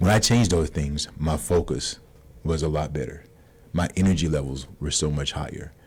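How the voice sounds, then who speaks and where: A man speaks at a very deep, low pitch with vocal fry. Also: ordinary pitch variation. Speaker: insurance broker. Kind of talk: radio interview. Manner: fast.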